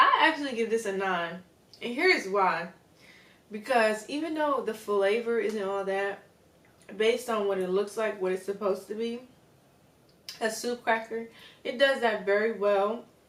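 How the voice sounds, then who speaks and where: A woman talks at a moderate pace with a fairly high pitch and ordinary pitch variation. Long, frequent pauses break her speech, and there is noticeable background noise. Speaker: YouTuber. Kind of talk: casual vlog, food review. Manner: animated.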